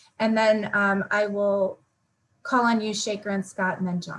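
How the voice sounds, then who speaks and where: At a moderate pace, a woman talks with a slight Massachusetts accent. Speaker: event moderator. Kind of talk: event hosting.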